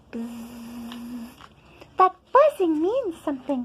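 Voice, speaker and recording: A woman's put-on character voice, high-pitched and at a very slow pace. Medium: read story.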